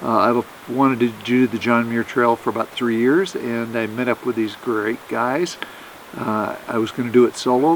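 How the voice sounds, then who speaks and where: A man with an American accent speaks at medium pitch and a moderate pace. His intonation is fairly even, and background noise is noticeable. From Oregon, US Pacific Northwest. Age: 60s. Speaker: hiker. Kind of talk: casual interview on trail.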